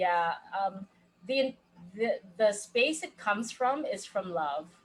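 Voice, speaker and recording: A woman's somewhat breathy voice, very slow in pace and lively in intonation. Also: medium pitch for a woman. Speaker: life coach. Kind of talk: casual chat.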